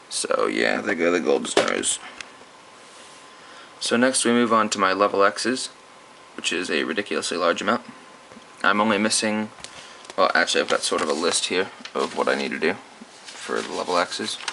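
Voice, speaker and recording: There is noticeable background noise. A man speaks with long, frequent pauses. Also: moderate pace. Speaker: card collector video creator. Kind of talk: casual collection showcase.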